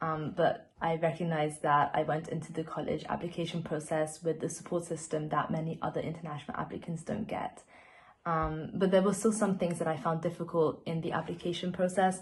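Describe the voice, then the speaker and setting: Somewhat breathy and fairly quick, a woman with a non-native accent speaks at a fairly low pitch. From Austria. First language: not English. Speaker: university student. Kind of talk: panel testimony.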